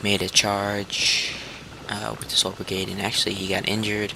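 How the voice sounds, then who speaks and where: Against noticeable background noise, a man talks at a moderate pace in a fairly low, monotone, flat voice. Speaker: gaming video creator. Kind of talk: gameplay tutorial. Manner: halting, many fillers.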